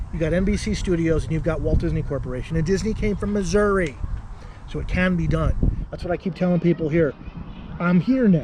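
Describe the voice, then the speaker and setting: A man talks at a fairly quick pace with a high pitch and an animated tone. His pitch variation is ordinary, with noticeable background noise. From Arizona, Tucson. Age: 40s. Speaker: political candidate. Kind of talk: interview.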